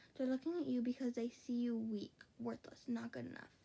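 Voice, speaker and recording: A woman's high-pitched voice, quiet, with a dark, mellow tone at a moderate pace. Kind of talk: read fan fiction story. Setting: late night at home. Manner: quiet, hushed.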